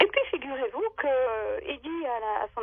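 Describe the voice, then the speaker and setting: The woman's voice sits high and swings very widely in pitch. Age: 60s. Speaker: radio caller sharing paranormal testimony. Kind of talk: testimony. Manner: halting, many hesitations.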